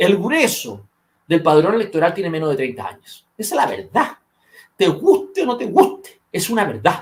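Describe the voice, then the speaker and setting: In a Chilean accent, a man speaks at a moderate pace with an animated tone. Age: 50s. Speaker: political commentator. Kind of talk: political discussion podcast.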